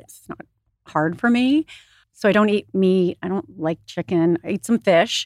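A woman with a normal speaking voice and an American accent talks at medium pitch and a moderate pace with lively intonation, the sound dry and close with no echo on a very clean recording with a silent background. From US Midwest, Michigan. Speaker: wellness retreat co-founder. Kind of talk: casual interview.

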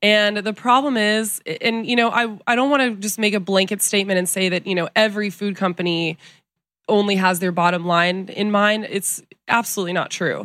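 At a fairly quick pace, a woman with a slight Southern US accent speaks at a medium pitch with fairly even intonation, on a very clean recording with a silent background. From US South, Texas and Colorado. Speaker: nutritionist touring with a pop star. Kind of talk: casual interview chat.

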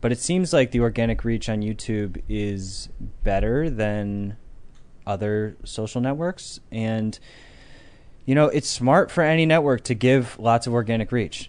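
Against a quiet background, a man with an American accent and a normal speaking voice talks at a medium pitch with ordinary pitch variation and a fairly slow pace. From Connecticut, South Norwalk. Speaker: tech company founder. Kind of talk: casual chat. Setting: studio livestream.

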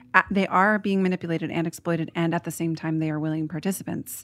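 A woman with an American accent rattles along at a very fast pace, fairly low in pitch and monotone, with flat intonation. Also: very clean recording, silent background. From Portland, Oregon, US. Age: 30s. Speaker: author. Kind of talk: casual chat.

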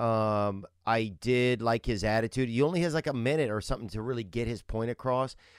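An ordinary speaking voice with an American accent moves at a fairly quick pace with ordinary pitch variation. The recording is very clean, with a silent background. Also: man, medium pitch for a man. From Colorado. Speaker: comedy podcast co-host. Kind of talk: casual chat.

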